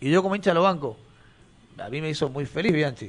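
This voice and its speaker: A man talks fairly quickly in an ordinary speaking voice, his pitch varying in an ordinary way. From Mendoza, Argentina (Maipú). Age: 30s. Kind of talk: casual chat.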